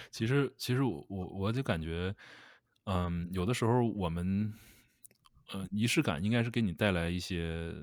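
Speaking at a moderate pace, a man with a fairly low voice and ordinary pitch variation comes through on a very clean recording with a silent background. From Northeast China. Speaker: podcast co-host. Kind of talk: casual chat. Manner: halting, repeats words.

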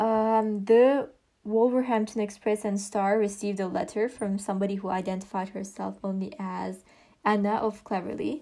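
A woman with a non-native accent speaks at a moderate pace in a medium-pitched, dark, mellow tone with fairly even intonation. The recording is very clean, with a silent background. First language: not English. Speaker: true crime podcast host. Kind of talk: scripted narration. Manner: halting, with frequent fillers and restarts.

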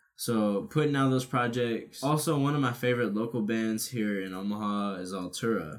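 Using a normal speaking voice, a man talks at a moderate pace and medium pitch with ordinary pitch variation and hardly any pauses. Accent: American. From Nebraska, US Midwest. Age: 20s. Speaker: rapper. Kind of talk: casual chat.

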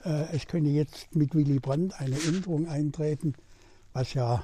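A man speaks fairly slowly in a fairly high pitch with a dark, mellow tone. His voice is somewhat breathy and his intonation fairly even. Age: 90s. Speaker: retired politician. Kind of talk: interview.

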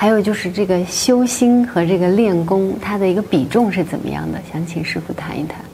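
Here a woman at medium pitch speaks fairly quickly, with hardly any pauses and ordinary pitch variation. The room echo is audible and the background noise noticeable. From mainland China. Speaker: interviewer. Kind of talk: interview.

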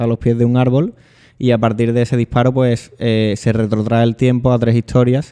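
This man talks at a fairly quick pace in a medium-pitched voice with a dark, mellow tone and flat, monotone intonation. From Spain, Seville (Triana). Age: 20s. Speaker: band musician and author. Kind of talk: casual chat. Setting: law office.

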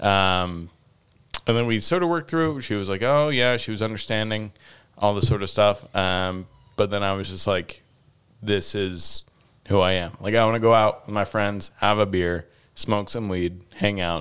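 This man has an unremarkable speaking voice, fairly low in pitch. He speaks at a moderate pace with ordinary pitch variation. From Utah, US. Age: 20s. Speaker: stand-up comedian. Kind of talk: casual chat. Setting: home studio.

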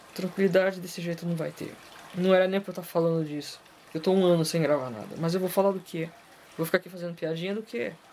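A very fast pace over noticeable background noise. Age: 40s. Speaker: podcast host. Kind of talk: casual monologue.

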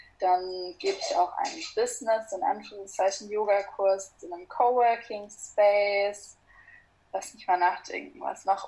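A woman with a dark, mellow tone and medium pitch talks at a fairly slow pace, her pitch varying in an ordinary way while her loudness swings widely. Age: 20s. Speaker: yoga teacher. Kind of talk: casual interview.

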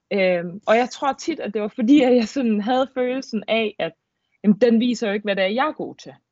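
Her loudness swinging widely, a woman talks at a moderate pace with a fairly high pitch and ordinary pitch variation. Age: 20s. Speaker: handball player. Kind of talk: casual chat. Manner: hesitant, many fillers.

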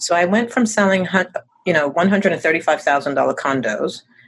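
A woman with an ordinary speaking voice talks at a fairly low pitch with lively intonation. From US Northeast. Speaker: real estate agent. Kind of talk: interview.

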